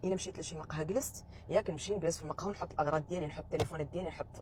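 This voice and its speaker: Lively in intonation, a woman with a Moroccan accent talks at a very fast pace. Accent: Moroccan Darija. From Morocco. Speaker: vlogger. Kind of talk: casual monologue vlog.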